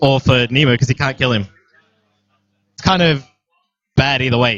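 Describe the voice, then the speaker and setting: A man talks at a moderate pace and a medium pitch. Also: ordinary pitch variation, big swings in loudness. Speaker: tabletop game commentator. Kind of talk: live commentary.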